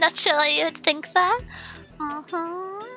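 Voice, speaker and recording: A woman speaks at an extremely high pitch with fairly even intonation. Music plays in the background. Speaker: vtuber streamer. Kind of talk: casual chat.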